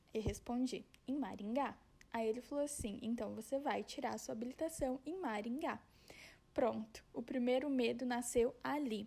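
A woman's high, dark, mellow voice in a Paraná accent, with ordinary pitch variation at a moderate pace. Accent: Paraná interior accent, rolled R. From interior of Paraná, Brazil. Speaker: podcast host. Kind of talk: personal storytelling monologue. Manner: casual, conversational.

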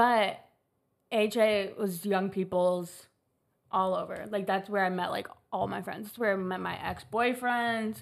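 Speaking with an American accent, a woman uses an unremarkable speaking voice at medium pitch. Her pace is fairly slow and her intonation fairly even. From Chicago. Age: 20s. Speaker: college student in recovery. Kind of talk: casual chat.

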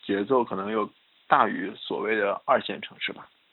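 A man talking at a moderate pace. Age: 20s. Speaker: guest on chat podcast. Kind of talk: casual chat.

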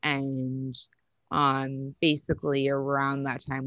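A woman speaks in a very deep, low pitch. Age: 30s. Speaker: guest sharing religious deconstruction story. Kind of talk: casual interview testimony. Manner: hesitant, many fillers.

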